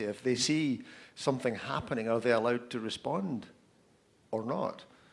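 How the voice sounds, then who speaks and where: Speaking at a fairly quick pace, a man with a Scottish accent uses a medium pitch and ordinary pitch variation. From Scotland. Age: 50s. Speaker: author, speaker and social media consultant. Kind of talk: panel Q&A answers. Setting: live event with audience.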